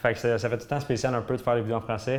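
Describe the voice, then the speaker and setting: A man's medium-pitched voice with a Quebec accent, monotone and flat in intonation. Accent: Québécois French. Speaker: fitness YouTuber. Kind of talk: vlog monologue. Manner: fast; halting.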